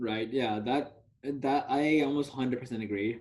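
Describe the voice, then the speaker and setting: A man talks in an ordinary speaking voice, moderately paced and with ordinary pitch variation. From US (Dallas), moved from Telangana, India at age 4-5. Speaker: university student. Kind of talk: casual interview discussion.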